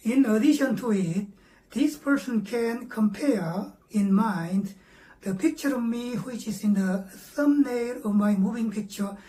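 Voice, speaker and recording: A woman with a Korean accent, fairly high-pitched, at a fairly slow pace with ordinary pitch variation, over noticeable background noise. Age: 70s. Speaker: meditation teacher. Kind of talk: lecture. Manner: halting, frequent fillers.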